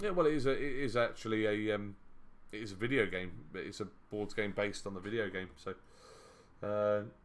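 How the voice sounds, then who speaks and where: A man with an English accent talks at a fairly quick pace in a fairly low pitch, with ordinary pitch variation. Long, frequent pauses break it up, and audible room echo surrounds him. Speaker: board game streamer. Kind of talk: live stream commentary. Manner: loud; casual, hesitant with fillers.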